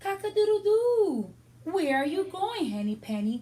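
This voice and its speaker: Using a put-on character voice, a woman speaks at an extremely high pitch. Her pace is moderate. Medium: read story.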